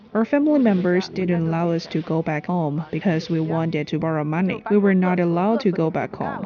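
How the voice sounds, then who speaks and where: Over noticeable background noise, a woman talks at a fairly quick pace with hardly any pauses, her fairly low pitch showing ordinary variation. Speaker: charity co-founder, former engineer. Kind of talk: documentary interview.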